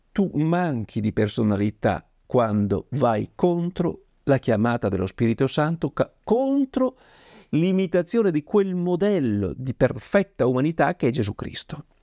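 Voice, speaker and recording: A man's dark, mellow tone with very wide pitch swings over a quiet background. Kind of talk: devotional talk reading from a book. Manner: formal, earnest, didactic. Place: home room.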